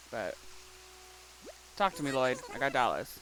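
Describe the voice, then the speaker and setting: Someone with an American accent speaks at a fairly slow pace. Music plays in the background. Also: woman. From Appalachia. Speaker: pastor and game streamer. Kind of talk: casual livestream chat while gaming. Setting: live stream. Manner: animated, chatty.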